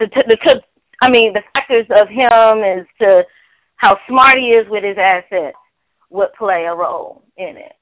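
Ordinary pitch variation in a normal speaking voice, delivered at a fairly slow pace. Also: woman. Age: 30s. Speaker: news segment co-host. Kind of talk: casual chat; news reading. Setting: phone call.

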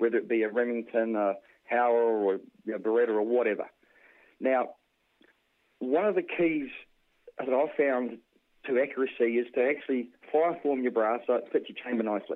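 A man with a New Zealand accent speaks with long, frequent pauses. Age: 40s. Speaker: ammunition reloader and hunter. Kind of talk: casual interview. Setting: phone call.

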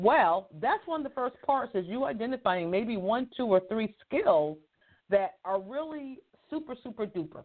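A woman talks at a moderate pace in a fairly high pitch, her pitch swinging very widely. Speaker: radio host and career coach. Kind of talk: live radio show monologue. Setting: radio studio broadcast. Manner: animated, upbeat, casual.

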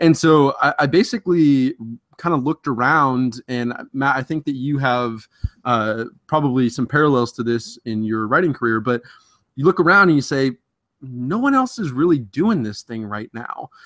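An ordinary speaking voice with an American accent, at moderate pace, with a dry, close sound and no echo. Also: man, medium pitch for a man, ordinary pitch variation. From Ohio (Columbus), early childhood in New Jersey. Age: 20s. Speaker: fantasy football analyst and social media editor. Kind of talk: casual interview.

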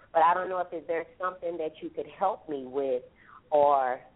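With an American accent, a woman talks at a moderate pace in an ordinary speaking voice, her pitch fairly low and its variation ordinary. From Texas. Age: 40s. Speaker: hairstylist. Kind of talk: call-in testimony. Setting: phone call.

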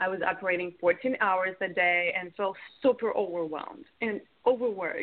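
A woman speaks with a Russian accent at a moderate pace. Her pitch is medium, with ordinary variation. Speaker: business coach. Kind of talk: interview.

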